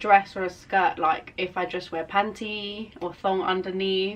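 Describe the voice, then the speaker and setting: A woman's medium-pitched voice at a moderate pace, with noticeable background noise. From London. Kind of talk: casual podcast conversation.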